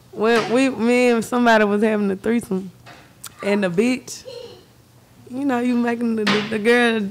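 Noticeable background noise behind a woman speaking at a fairly high pitch. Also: long, frequent pauses. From Memphis, Tennessee (Glenview); Tennessee. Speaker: rapper; podcast guest. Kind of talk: casual interview. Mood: playful, laughing, joking. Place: studio. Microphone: studio mic.

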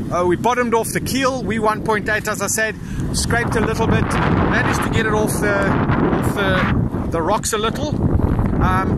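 Dry, echo-free speech from a man at a moderate pace, loud noise behind him. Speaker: sailing vlogger. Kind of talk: casual vlog chat. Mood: tense but wry. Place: boat. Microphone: phone near.

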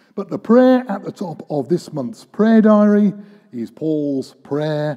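Against a quiet background, a man speaks very slowly in a dark, mellow tone. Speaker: preacher. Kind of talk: sermon. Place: church. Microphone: podium.

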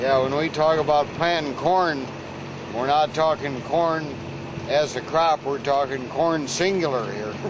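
A man speaks with fairly even intonation. The sound is dry with no echo, and there is noticeable background noise. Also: fairly slow pace. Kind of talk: casual documentary chat. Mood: relaxed, joking. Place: farm machine.

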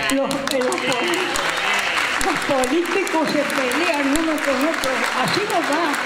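Over loud background noise, a woman speaks at a very slow pace with long, frequent pauses. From Argentina. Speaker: elderly guest being interviewed. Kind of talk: interview answer. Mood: earnest, wistful. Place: hall. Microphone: handheld.

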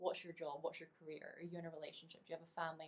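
A woman speaks with fairly low pitch. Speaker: associate producer and performer. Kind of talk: personal testimonial talk to camera. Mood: thoughtful, earnest. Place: home room. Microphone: webcam.

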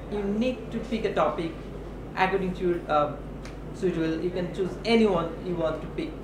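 Pitched high for a man, his voice moves at a moderate pace with ordinary pitch variation. Background noise is noticeable. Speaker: English lecturer. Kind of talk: workshop instruction. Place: meeting room. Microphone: camera far.

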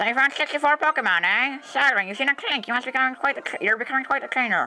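A man's put-on character voice at a very fast pace, with music in the background. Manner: friendly, excited.

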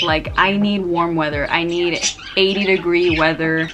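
A woman talks at a moderate pace while loud background noise plays. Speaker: vlogger. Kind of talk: casual vlog chat. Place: home room. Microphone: camera far.

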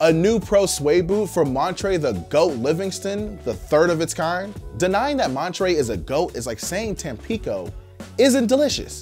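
A fairly slow pace over faint music in the background. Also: man. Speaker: news show host. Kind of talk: commentary. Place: studio.

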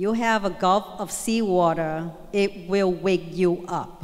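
Speech comes at a very slow pace with ordinary pitch variation. The background is quiet. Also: woman. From Vietnam. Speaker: guest speaker sharing her story. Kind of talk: motivational speech to school assembly. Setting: school assembly stage with audience. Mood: earnest, storytelling. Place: hall. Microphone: handheld.

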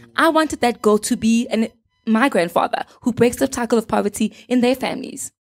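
A woman's high-pitched voice at a fairly quick pace, with ordinary pitch variation and faint music in the background. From South Africa, Gauteng. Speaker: social entrepreneur; guest. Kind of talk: casual chat. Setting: studio. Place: studio. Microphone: handheld.

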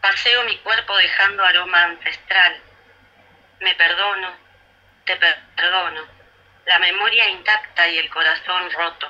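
Long, frequent pauses break up the speech at a fairly slow pace. The intonation is fairly even. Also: woman. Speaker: radio co-host. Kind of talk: radio interview. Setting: radio, remote. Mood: emotional, slow recitation. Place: stage.

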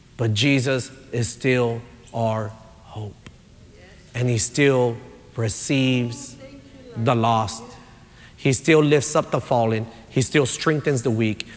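A man speaks at a medium pitch and a very slow pace, with long, frequent pauses. Noticeable background noise runs underneath. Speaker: pastor. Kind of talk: sermon. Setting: church. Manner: animated.

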